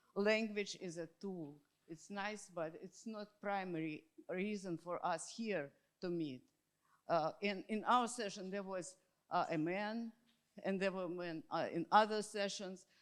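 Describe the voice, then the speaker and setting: A woman talks at a fairly slow pace with a Russian accent. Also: medium pitch for a woman, ordinary pitch variation. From Russia, Moscow. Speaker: academic conference participant. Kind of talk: panel discussion. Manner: halting.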